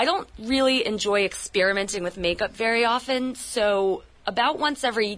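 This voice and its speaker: Here a woman is speaking. Her pitch variation is ordinary. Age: 30s. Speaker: radio producer. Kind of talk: on-air makeover consultation.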